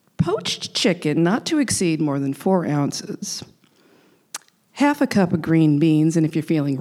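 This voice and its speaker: A woman speaks at a fairly slow pace with an American accent, her pitch fairly low. It is a normal speaking voice. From Rochester, New York. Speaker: storyteller. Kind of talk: live storytelling. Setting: stage with audience.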